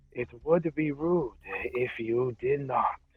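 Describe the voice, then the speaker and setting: The speaker uses a put-on character voice. Delivery comes at a very slow pace. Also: man, fairly high pitch for a man. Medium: actual play. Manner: calm, blunt, matter-of-fact.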